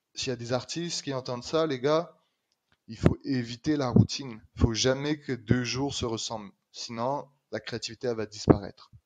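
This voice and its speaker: A man's medium-pitched voice with a slight Quebec accent, moderate pace, fairly even intonation and big swings in loudness. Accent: slight Québécois French. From France, Normandy. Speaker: street artist. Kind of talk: podcast interview.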